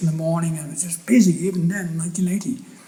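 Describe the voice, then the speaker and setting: Talking at a very fast pace, a man with an Irish accent uses a high pitch. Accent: Irish accent still marked. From Ireland, Athy, County Kildare; later England. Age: 70s. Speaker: photographer. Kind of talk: public talk. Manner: halting, with many restarts.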